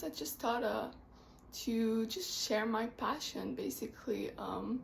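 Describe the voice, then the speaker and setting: Someone speaks at a very slow pace in a Quebec accent over noticeable background noise. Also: woman. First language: French. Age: 20s. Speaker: book vlogger, literature student. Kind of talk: casual vlog talk. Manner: hesitant, many fillers.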